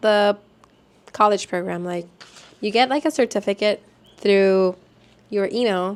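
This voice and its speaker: At a fairly slow pace, a woman with a Spanish accent speaks in an animated tone at a fairly high pitch. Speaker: vlogger, former theme park college program worker. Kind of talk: casual vlog talk.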